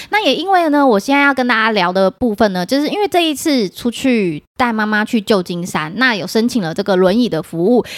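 Animated in tone, a woman with a Taiwanese accent speaks at a fairly quick pace with a fairly high pitch and very wide pitch swings, in a very clean recording with a silent background. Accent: Taiwanese Mandarin. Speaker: podcast host. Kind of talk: casual chat.

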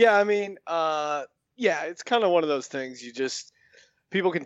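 Speaking at a fairly quick pace with an American accent, this is a plain, everyday voice with ordinary pitch variation. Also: man. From Philadelphia area (military family). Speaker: sports gambling podcaster. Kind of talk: casual chat.

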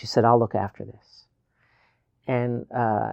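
A man with a Newfoundland accent speaks at a moderate pace and medium pitch, with a dark, mellow tone. The sound is dry and close with no echo, and the background is quiet. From Newfoundland, Canada. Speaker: novelist and poet. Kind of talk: interview. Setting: studio.

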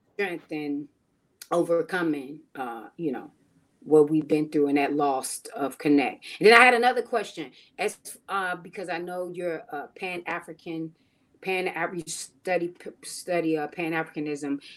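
Speaking at a moderate pace, a woman with an ordinary speaking voice shows ordinary pitch variation and big swings in loudness. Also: fairly low pitch for a woman. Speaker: comedian and choreographer. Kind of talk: casual chat. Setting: video call.

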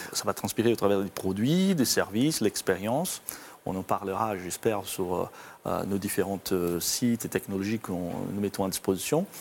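Talking at a moderate pace, a man has a fairly low pitch and ordinary pitch variation. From Brazil. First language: Portuguese (speaking French). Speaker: corporate IT executive. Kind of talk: interview. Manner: halting, with repetitions and fillers.

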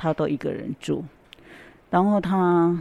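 Her voice has a very deep, low pitch and a dark, mellow tone. This woman speaks at a fairly slow pace. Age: 70s. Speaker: volunteer. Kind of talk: interview. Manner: halting.

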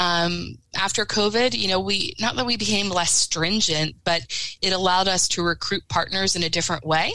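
Recorded very cleanly with a silent background, a woman with an American accent speaks at a moderate pace and medium pitch, her tone bright and sharp, her loudness very even and her pitch variation ordinary. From southern Lancaster County, Pennsylvania. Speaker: environmental nonprofit staff. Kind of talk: podcast interview.

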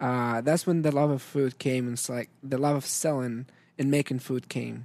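With an Arabic accent, a man speaks in a monotone, flat intonation at medium pitch and a moderate pace. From Syria. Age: young. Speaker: restaurant owner. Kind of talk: casual interview.

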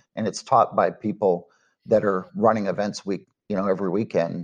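An unremarkable speaking voice at a moderate pace against a quiet background. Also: man. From Texas, Dallas-Fort Worth. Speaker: cook-off association founder. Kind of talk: interview.

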